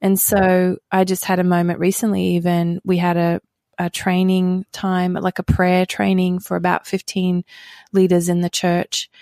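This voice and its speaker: A dark, mellow voice speaks at a moderate pace in flat, monotone intonation. The recording is very clean, with a silent background. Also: woman, medium pitch for a woman. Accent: Australian. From Australia. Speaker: pastor and author. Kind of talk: interview.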